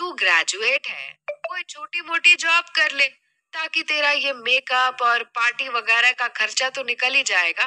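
Doing a put-on character voice, a woman speaks at a high pitch and fairly slow pace with a bright, sharp tone and lively intonation, in a dry, close sound with no echo.

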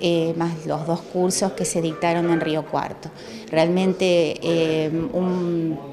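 Very slow speech against noticeable background noise. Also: woman. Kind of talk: interview answer. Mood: calm, informative. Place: office.

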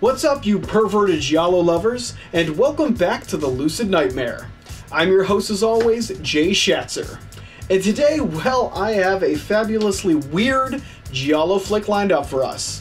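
Faint music sits in the background. The speaking pace is moderate. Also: man. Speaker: film review show host. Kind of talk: casual host intro.

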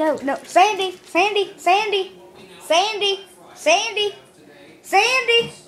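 A man in a put-on character voice sounds squeaky at an extremely high pitch, talking at a fairly slow pace with long, frequent pauses. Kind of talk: talking to pets. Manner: excited, playful.

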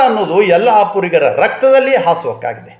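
A man with lively intonation. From north Karnataka plains. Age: 70s. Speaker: retired college principal. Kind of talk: reminiscence monologue. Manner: formal.

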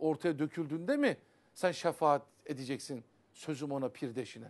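Here a man is talking. His speed is moderate and the surroundings are quiet. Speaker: Sufi religious teacher. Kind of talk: religious TV talk on Sufi poetry. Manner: animated. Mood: earnest, admonishing. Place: studio.

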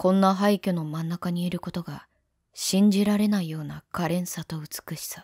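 The speaker talks at a fairly slow pace on a very clean recording with a silent background. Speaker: virtual YouTuber. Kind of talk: first-person narration.

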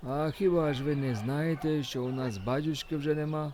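Mumbling in a put-on character voice with a warm tone, a man speaks at a moderate pace and a fairly high pitch with ordinary pitch variation, with clear background noise. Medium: read story. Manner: deferential, folksy, warm.

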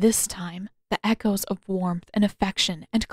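The delivery is plain reading aloud. The background is quiet.

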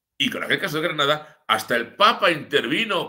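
Against a quiet background, a man projects a raised voice that is bright and sharp in tone, moving at a moderate pace with lively intonation. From Spain, Madrid region (Sierra de Madrid); Madrid region, Spain. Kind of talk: live-streamed news commentary. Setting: live stream from his home village. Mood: ironic, critical. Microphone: webcam.

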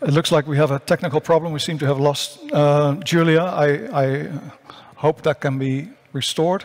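A man with a Dutch accent, fairly high in pitch, at a moderate pace and with fairly even intonation. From Netherlands. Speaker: science journalist, panel moderator. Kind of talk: panel moderation. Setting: conference stage with remote speakers. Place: stage. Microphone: headset.

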